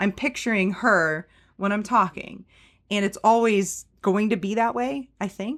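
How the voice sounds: Heard in a very clean recording with a silent background, the speech moves at a fairly slow pace with ordinary pitch variation. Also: woman, medium pitch for a woman.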